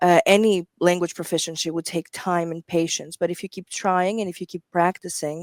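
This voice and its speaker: A woman with a Greek accent speaks in a fairly low, monotone voice with flat intonation and hardly any pauses, her loudness swinging widely. The sound is dry and close, with no echo. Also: moderate pace. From Greece. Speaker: medical interpreter. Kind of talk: live show interview.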